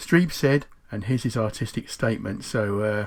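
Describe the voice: A man speaks at a fairly slow pace, with a fairly low pitch and a slightly mellow tone. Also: ordinary pitch variation.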